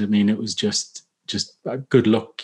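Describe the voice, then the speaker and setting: Fairly low in pitch, a man speaks. The background is quiet. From northern England, Newcastle. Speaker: author and former special forces soldier. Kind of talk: casual interview, storytelling. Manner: halting, many fillers.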